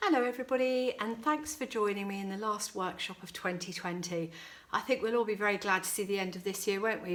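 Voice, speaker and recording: A woman's fairly high voice with a British accent, fairly quick in pace, with ordinary pitch variation. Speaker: florist running flower workshops. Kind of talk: tutorial.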